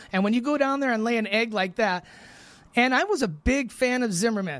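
Recorded very cleanly against a silent background, a man talks at a moderate pace in an extremely high pitch with ordinary pitch variation. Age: 50s. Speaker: studio engineer and Packers fan. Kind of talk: casual chat. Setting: studio.

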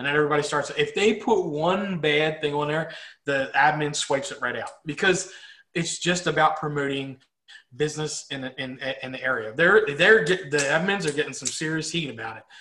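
A man with a plain, everyday voice talks at a fairly quick pace and a fairly high pitch. His pitch variation is ordinary, while his loudness swings a lot. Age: 40s. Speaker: business owner and co-host. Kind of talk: casual chat.

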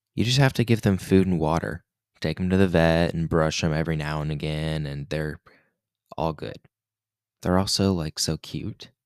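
A man with a very deep, low voice speaks at a moderate pace with ordinary pitch variation, leaving long, frequent pauses, in a very clean recording with a silent background and a dry, close sound with no echo. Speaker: podcast host and amateur poet. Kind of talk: spoken word poem read aloud, earnest and confessional, then casual chat. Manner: earnest, repetitive, emotive poetic cadence; casual, conversational, sincere.

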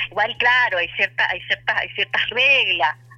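Noticeable background noise sits behind a woman speaking at a moderate pace with a fairly high pitch. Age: 40s. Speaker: journalist and wine writer. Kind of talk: radio interview.

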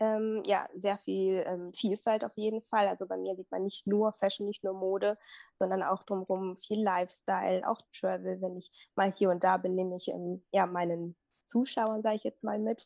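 A woman speaks with a dark, mellow tone and fairly even intonation. The background is quiet. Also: medium pitch for a woman, moderate pace. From Germany, Minden area. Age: 20s. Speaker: fashion blogger and visual merchandiser. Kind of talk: casual interview. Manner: hesitant, many fillers.

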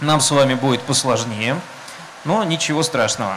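Amid noticeable background noise and audible room echo, a man with a fairly high pitch and ordinary pitch variation talks at a fairly slow pace. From Russia, Saint Petersburg. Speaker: panel moderator. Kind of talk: panel discussion. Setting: stage under a tent with audience, rain.

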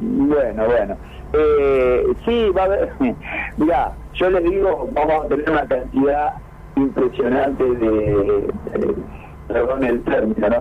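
A man speaks at a very slow pace with long, frequent pauses and very even loudness. Noticeable background noise runs underneath. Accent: Argentine. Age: 60s. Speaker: veteran cyclist and race organizer. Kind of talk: radio interview.

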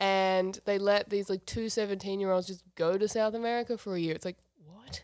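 A woman speaks at a medium pitch with an Australian accent, fairly quickly and in a monotone, flat intonation. The recording is very clean, with a silent background. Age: 30s. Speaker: podcast guest. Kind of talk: casual chat.

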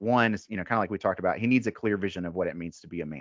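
This man speaks with a Southern US accent. His pitch is very deep and low, with ordinary variation. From US South, Mississippi. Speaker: men's ministry founder. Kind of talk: casual interview.

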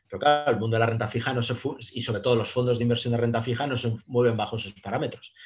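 Over music in the background, a man of medium pitch speaks very fast in a flat monotone. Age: 50s. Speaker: private investor. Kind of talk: casual interview. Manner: hesitant, many fillers and repetitions.

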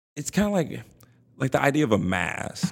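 A man with a fairly high voice speaks at a moderate pace in an animated tone, his pitch swinging very widely and dropping into vocal fry. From Compton, Los Angeles. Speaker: podcast host. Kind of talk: casual chat.

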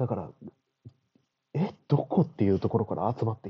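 Somewhat breathy and medium in pitch, a man speaks with lively intonation. His pace is moderate. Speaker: podcast host. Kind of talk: solo monologue. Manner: casual.

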